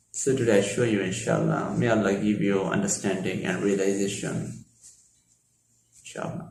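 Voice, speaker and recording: With a Bengali accent, a man talks at a moderate pace in a fairly low pitch with ordinary pitch variation. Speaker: Islamic lecturer. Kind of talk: lecture.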